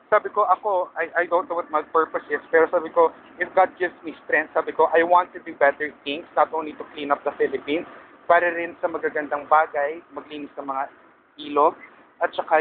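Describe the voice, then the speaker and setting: A fairly high-pitched man at a fairly quick pace, monotone and flat, against noticeable background noise. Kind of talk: casual vlog talk to camera.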